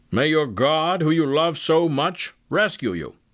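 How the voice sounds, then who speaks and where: Put-on character voice from a man, pitched fairly high and moving at a fairly slow pace. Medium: read story. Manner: regal, proclaiming.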